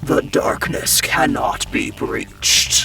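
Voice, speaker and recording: Over clear background noise, a man uses a put-on character voice and speaks at a very slow pace. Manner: ominous.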